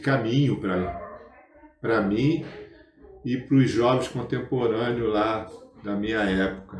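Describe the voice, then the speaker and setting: Speaking at a medium pitch with fairly even intonation, a man goes at a very slow pace with long, frequent pauses. Audible room echo and noticeable background noise fill the recording. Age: 70s. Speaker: spiritist movement veteran. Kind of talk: interview. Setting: spiritist center.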